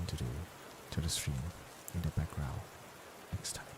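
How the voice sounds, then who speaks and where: A soft-spoken man talks in a very deep, low pitch. Noticeable background noise sits behind him. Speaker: VTuber streamer. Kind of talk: bedtime ASMR chat stream. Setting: lying in bed, live stream.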